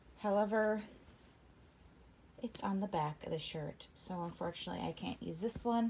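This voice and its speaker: This woman's tone is dark and mellow. She speaks at a medium pitch. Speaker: crafter and small business owner vlogger. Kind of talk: casual vlog narration. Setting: at home, basement craft room.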